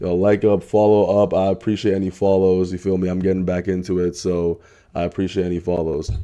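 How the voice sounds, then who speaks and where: Very deep and low, a man's voice carries a dark, mellow tone. He talks at a fairly quick pace in a monotone, flat intonation. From Canada. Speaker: streamer. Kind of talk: casual livestream reaction chat. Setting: live stream at home late at night. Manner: quiet; casual, rambling with fillers.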